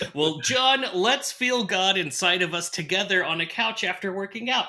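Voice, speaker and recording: Over noticeable background noise, a man with a high pitch uses a raised, projected voice, speaking at a moderate pace with lively intonation. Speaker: horror movie podcast host. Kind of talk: casual chat.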